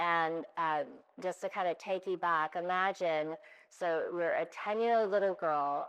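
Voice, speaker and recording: A woman with an American accent and a plain, everyday voice, fairly low in pitch, with fairly even intonation, very even loudness and a fairly slow pace over a quiet background. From US West Coast, Oakland, California. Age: 60s. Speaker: retired business executive, panelist. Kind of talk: panel discussion, personal story.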